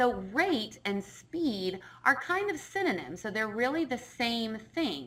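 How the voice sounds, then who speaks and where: Speaking very slowly at a fairly high pitch, a woman swings her pitch very widely while the room echo is audible. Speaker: science teacher. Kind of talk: lecture.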